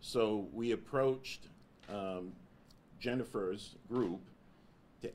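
A man talks with ordinary pitch variation, and light background noise can be heard. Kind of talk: press conference statement. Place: meeting room. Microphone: podium.

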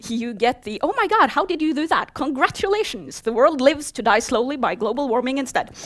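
A woman's high-pitched voice in a Norwegian accent, at a fairly quick pace with hardly any pauses and very wide pitch swings. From Norway. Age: 30s. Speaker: software developer; conference speaker. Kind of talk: conference talk. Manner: fast. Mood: humorous, lively. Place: hall.

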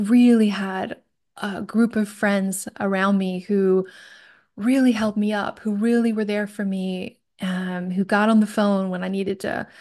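A woman speaks at a fairly slow pace in a flat monotone. The background is quiet. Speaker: podcast guest. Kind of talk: personal storytelling in a conversation. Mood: warm, reflective. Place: home room. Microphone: studio mic.

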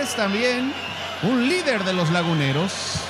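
A man takes his time, talking at a fairly slow pace while loud background noise fills the recording. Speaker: play-by-play commentator. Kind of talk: sports commentary.

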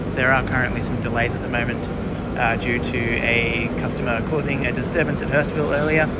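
A man's fairly quick speech competes with heavy noise in the background. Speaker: train enthusiast vlogger. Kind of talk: casual vlog chat. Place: station. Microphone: phone near.

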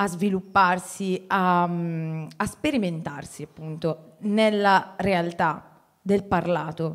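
Her intonation stays fairly even. The woman is heard against a quiet background. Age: 30s. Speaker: teacher and writer, moderator; teacher, moderator. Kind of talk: moderated public conversation. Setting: stage with audience. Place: hall. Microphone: handheld.

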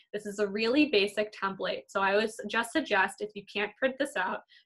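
A woman speaks at a fairly quick pace in a bright, sharp tone. Her pitch varies in an ordinary way against a quiet background. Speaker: art teacher. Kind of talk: tutorial. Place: kitchen. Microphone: webcam.

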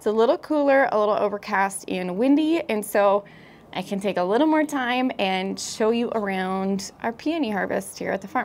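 Lively intonation from a woman at a moderate tempo. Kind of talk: casual vlog chat. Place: garden. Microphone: lapel.

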